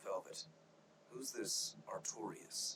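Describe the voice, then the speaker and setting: Over clear background noise, a man uses a raspy, put-on character voice in a calm tone. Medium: video game. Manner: calm, dry.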